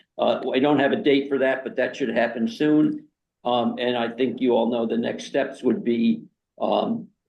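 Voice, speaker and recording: At a medium pitch, a man talks at a moderate pace. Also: ordinary pitch variation. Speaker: committee chair. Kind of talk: public meeting. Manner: loud. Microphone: new laptop setup.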